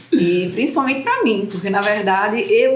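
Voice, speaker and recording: A woman with a Pernambuco accent talks at a moderate pace in a room with audible echo. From Recife, Brazil. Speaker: mother guest. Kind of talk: casual podcast interview.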